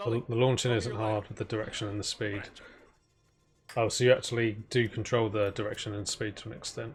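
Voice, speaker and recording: A man with an English accent speaks at a medium pitch and a fairly quick pace, his tone relaxed, somewhat breathy and flat in intonation. His loudness swings widely on a very clean recording with a silent background. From England. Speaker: video game streamer. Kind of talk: casual chat while gaming. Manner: relaxed, halting with fillers.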